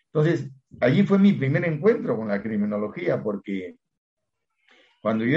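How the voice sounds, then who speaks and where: A man is speaking here. His intonation is lively. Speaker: law professor and criminologist. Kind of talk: interview.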